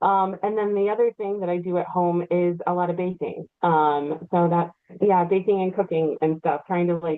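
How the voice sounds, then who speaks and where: Using a normal speaking voice, a woman speaks at medium pitch with fairly even intonation. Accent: American. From Virginia. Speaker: audiobook narrator and voiceover artist. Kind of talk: casual interview chat.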